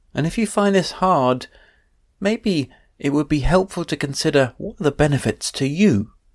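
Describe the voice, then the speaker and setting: The recording is very clean, with a silent background and a dry, close sound with no echo. A man speaks in an unremarkable speaking voice at a fairly high pitch. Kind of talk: guided meditation. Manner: slow, gentle, soothing, with long pauses; soft-spoken, calm, unhurried.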